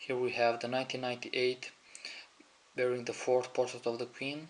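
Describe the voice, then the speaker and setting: At a moderate pace, a man with a non-native accent speaks at a medium pitch. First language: not English. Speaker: coin collector. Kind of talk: show-and-tell video.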